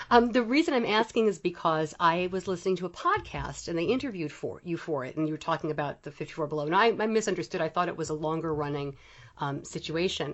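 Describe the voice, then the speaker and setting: The speech comes at a very fast pace with hardly any pauses. Pitch varies in an ordinary way. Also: woman, fairly low pitch for a woman. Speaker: podcast host. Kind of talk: interview. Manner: halting.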